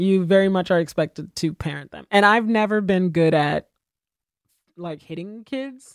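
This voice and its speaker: With an American accent and a plain, everyday voice, a woman speaks at a medium pitch and moderate pace with ordinary pitch variation and big swings in loudness, in a dry, close sound with no echo. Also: very clean recording, silent background. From Haiti, raised in the US. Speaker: comedian. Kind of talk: casual chat.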